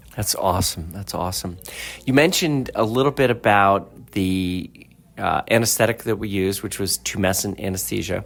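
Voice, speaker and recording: Music in the background, under a voice whose pitch varies in an ordinary way. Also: man, fairly low pitch for a man, moderate pace. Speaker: plastic surgeon, interviewer. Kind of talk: podcast interview host.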